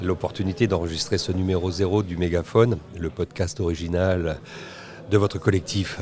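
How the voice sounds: A man's low-pitched voice, dark and mellow in tone, with fairly even intonation at a moderate pace.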